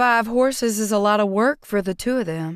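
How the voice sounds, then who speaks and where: A woman speaks in a put-on character voice, fairly high in pitch, at a moderate pace. The recording is very clean, with a silent background. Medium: read story. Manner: warm but terse.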